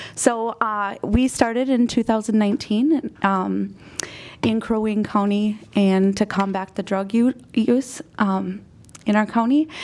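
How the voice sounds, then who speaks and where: A normal speaking voice delivered at a fairly slow pace with fairly even intonation. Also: woman, fairly high pitch for a woman. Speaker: community coalition representative. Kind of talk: presentation to city council. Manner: many fillers (um, uh).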